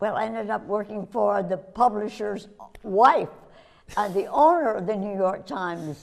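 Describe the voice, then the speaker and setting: A woman with a medium-pitched voice and vocal fry speaks with lively intonation. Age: 90s. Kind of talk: interview answer.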